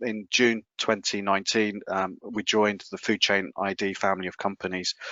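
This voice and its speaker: With a British accent, a man speaks at a fairly low pitch. His intonation is fairly even. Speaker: food safety technology specialist. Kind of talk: webinar presentation. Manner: halting, many fillers and repetitions.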